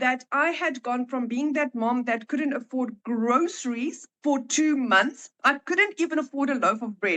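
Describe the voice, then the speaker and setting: At a fairly slow pace, a woman speaks in a raised, projected voice with a high pitch, ordinary pitch variation and a bright, sharp tone, the sound dry and close with no echo. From South Africa. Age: 40s. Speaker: online marketing entrepreneur. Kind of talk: testimony. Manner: hesitant, many fillers.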